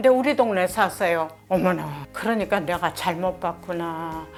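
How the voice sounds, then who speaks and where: The speaker is a woman who talks fairly slowly. Behind her, music plays. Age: 80s+. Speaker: church deaconess. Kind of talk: interview answer.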